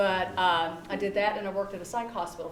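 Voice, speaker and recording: In a Southern US accent, a woman speaks at a fairly quick pace with fairly even intonation. Audible room echo and noticeable background noise come through. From US South. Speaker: psychology researcher. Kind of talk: public talk.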